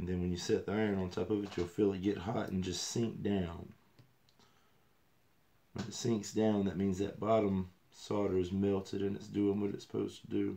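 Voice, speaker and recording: Mumbling at a moderate pace, a man speaks in a fairly low, dark, mellow tone with monotone, flat intonation. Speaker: RC hobbyist. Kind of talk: casual livestream talk.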